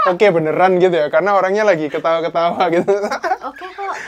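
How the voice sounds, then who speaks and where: Loud background noise fills this clip. Over it, a man speaks very fast. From Indonesia. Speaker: YouTuber. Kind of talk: casual vlog. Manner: animated.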